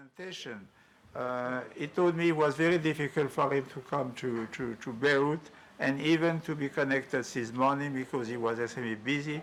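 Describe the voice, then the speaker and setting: Speaking with a French accent at a fairly quick pace, a man with a fairly high pitch keeps his intonation fairly even while his loudness swings widely. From France. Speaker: workshop moderator. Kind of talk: conference moderation. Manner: halting.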